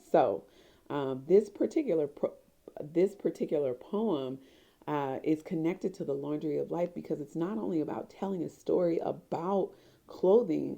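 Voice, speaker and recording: A woman's fairly low, dark and mellow voice with vocal fry, ordinary pitch variation and a moderate pace. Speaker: expressive arts therapy professor. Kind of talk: casual talk to camera.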